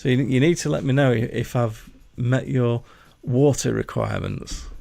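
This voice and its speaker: Speaking in a Yorkshire accent at a moderate pace, a man uses a medium pitch with ordinary pitch variation and a dark, mellow tone. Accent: mild Yorkshire. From Yorkshire, northern England. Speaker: gaming streamer. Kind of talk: live gameplay commentary. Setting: livestream at home desk. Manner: halting, stammering while concentrating; loud. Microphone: mic placed too close at first.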